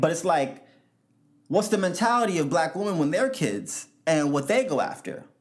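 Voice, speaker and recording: A man with a New York accent speaks in an animated tone at high pitch, with audible room echo. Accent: New York City English. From US Northeast, New York City (South Bronx). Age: 20s. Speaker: podcast host. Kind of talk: solo podcast monologue.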